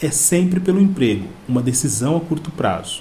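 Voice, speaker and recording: A man's lively, moderate-paced speech, with audible room echo and noticeable background noise. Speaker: podcast host. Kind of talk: scripted narration. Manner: formal.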